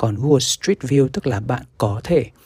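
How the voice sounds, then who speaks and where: A man speaks quietly at a moderate pace in a somewhat breathy voice, on a very clean recording with a silent background. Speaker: tech podcast host. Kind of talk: solo podcast monologue. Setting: small bedroom at home, late night. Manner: quiet, low volume.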